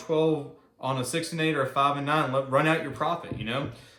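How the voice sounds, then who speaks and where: A man speaks at a fairly quick pace. Noticeable background noise and audible room echo surround him. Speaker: gambling video host. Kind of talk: casual commentary while playing craps. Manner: fast; animated.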